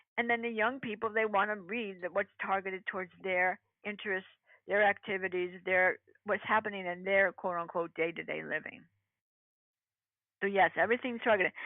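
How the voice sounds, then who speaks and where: Though she takes long, frequent pauses, a woman speaks at a fairly quick pace, her medium pitch and intonation fairly even. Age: 60s. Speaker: public relations practitioner. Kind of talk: interview. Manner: emphatic, repeats words.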